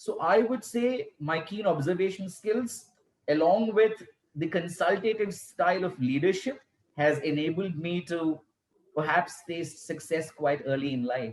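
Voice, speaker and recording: Lively intonation at a fairly slow pace. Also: man, high pitch for a man. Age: young. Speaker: school principal. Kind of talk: interview. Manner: soft-spoken.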